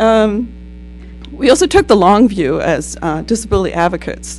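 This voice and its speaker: The speaker talks at a fairly quick pace. Background music can be heard. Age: 60s. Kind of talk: panel talk. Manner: halting, many fillers.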